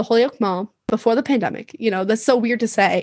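A woman has an unremarkable speaking voice, fairly high in pitch, with ordinary pitch variation. She talks at a fairly quick pace, and the sound is dry and close with no echo. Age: 20s. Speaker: podcast guest. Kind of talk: casual chat.

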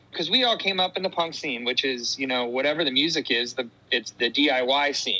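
A man speaks with a Californian accent at a fairly quick pace. His tone is bright and sharp, and his pitch fairly high. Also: ordinary pitch variation. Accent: Californian American. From US West Coast, Fremont and Santa Cruz area, California. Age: 40s. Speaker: punk rock musician. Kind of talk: casual interview chat.

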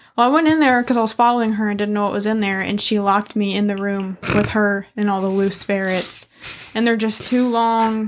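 A woman at a medium pitch and a fairly quick pace, with fairly even intonation and noticeable background noise. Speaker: podcast host. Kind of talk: casual banter, crude humor.

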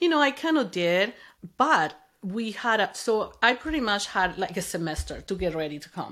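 With a Spanish accent, a woman speaks at a moderate pace in a medium pitch with a bright, sharp tone and very wide pitch swings, on a very clean recording with a silent background. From Venezuela. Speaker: mother of the host, immigrant. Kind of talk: interview, personal story.

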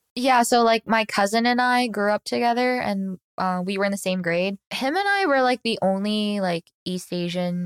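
Recorded with a dry, close sound and no echo, this is a plain, everyday voice with ordinary pitch variation. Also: woman. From Virginia, US. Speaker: podcast guest. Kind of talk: casual chat. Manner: filler-heavy, lots of 'like'; laughs often.

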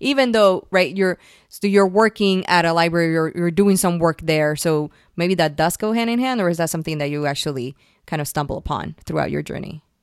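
On a very clean recording with a silent background, a woman talks at a fairly quick pace, her fairly low voice showing ordinary pitch variation. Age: 30s. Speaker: podcast host. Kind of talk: interview. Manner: halting, many fillers.

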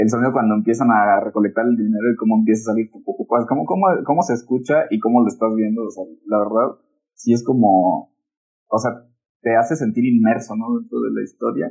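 Speaking at a fairly quick pace, a man with a Mexican accent uses a medium pitch and ordinary pitch variation. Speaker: podcast co-host. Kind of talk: casual chat. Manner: loud; animated.

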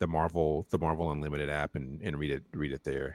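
In a very clean recording with a silent background, dry and close with no echo, a man with an American accent speaks at a fairly quick pace, his very deep, low voice marked by vocal fry. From North Carolina. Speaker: comic book and TV writer. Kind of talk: casual interview.

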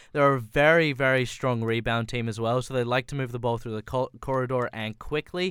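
An Australian accent marks this man's fairly quick speech. His pitch is medium and his intonation fairly even. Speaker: football podcast host. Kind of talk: casual chat about football, fan analysis. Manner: conversational, analytical, tactical.

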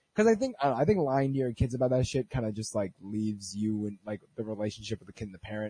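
A man with a fairly low pitch and a dark, mellow tone talks at a very fast pace, somewhat breathy, with fairly even intonation, big swings in loudness, and a dry, close sound with no echo. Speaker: podcast host. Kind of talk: casual chat.

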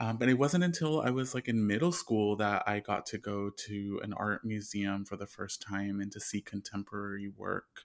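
Speaking at a moderate pace with hardly any pauses, a man with a fairly low pitch and ordinary pitch variation is heard on a very clean recording with a silent background. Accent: Southern Californian. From Southern California, Inland Empire. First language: Spanish. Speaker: artist and psychotherapist. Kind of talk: interview.

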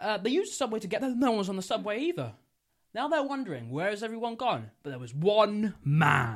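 An unforced reading voice comes through against a quiet background.

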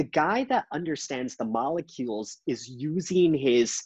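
Over a quiet background, a man speaks in an unremarkable speaking voice at a fairly slow pace, fairly high in pitch with lively intonation, in a dry, close sound with no echo. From Canada. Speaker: trading author and podcast host. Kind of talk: casual chat.

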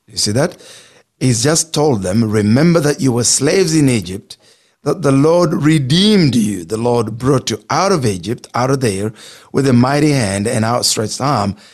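A man at medium pitch with a non-native accent, speaking at a moderate pace. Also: lively intonation. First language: not English. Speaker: pastor. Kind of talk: bible teaching on radio. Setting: radio studio.

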